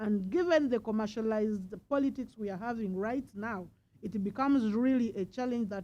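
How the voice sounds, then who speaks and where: A woman speaks at a fairly quick pace. Her dark, mellow tone sits at a fairly high pitch. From Uganda. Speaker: politician. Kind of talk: panel speech.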